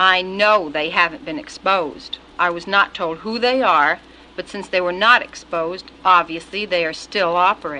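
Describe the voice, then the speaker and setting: A woman speaks at a medium pitch and a moderate pace, with ordinary pitch variation and noticeable background noise. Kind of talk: recorded congressional testimony.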